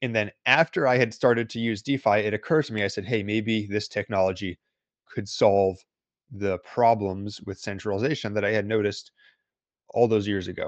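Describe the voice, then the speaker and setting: An ordinary speaking voice, a man with an American accent, fairly low in pitch and fairly even in intonation, dry and close with no echo against a quiet background. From United States. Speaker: crypto analyst and newsletter writer. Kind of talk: casual interview.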